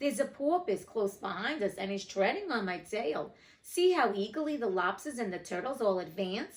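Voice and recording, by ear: Someone reading aloud in a natural voice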